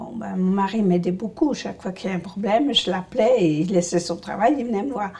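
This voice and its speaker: A woman speaks at a fairly slow pace, her medium-pitched voice showing ordinary pitch variation. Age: 60s. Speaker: patient with essential tremor. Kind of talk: testimony. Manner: halting.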